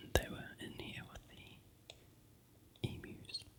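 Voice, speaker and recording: A whisper comes through noticeable background noise. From New Zealand. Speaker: ASMR creator. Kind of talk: whispered ASMR vlog. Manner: whispering; soft-spoken.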